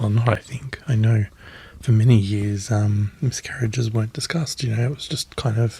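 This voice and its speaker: Soft-spoken and somewhat breathy, a man with an Australian accent talks at a moderate pace in a medium-pitched, dark, mellow voice with fairly even intonation. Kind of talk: ASMR magazine reading.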